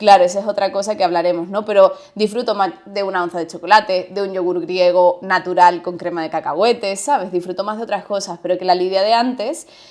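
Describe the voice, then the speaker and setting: A woman's medium-pitched voice at a fairly quick pace, with fairly even intonation, hardly any pauses, and noticeable background noise. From Andalusia, Spain. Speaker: podcast co-host. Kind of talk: casual chat. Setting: studio, seated.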